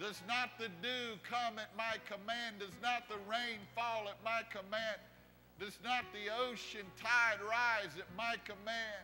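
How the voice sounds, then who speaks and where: Against light background noise, a man speaks in a raised, projected voice at a very slow pace. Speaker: preacher. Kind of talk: prophetic declaration in worship. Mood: intense, reverent, eyes closed. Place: church. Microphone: lapel.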